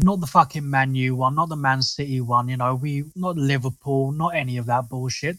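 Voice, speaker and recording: Fairly high-pitched and fairly quick, a man talks with a South London accent. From southeast London. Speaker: football fan podcaster. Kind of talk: casual chat. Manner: animated.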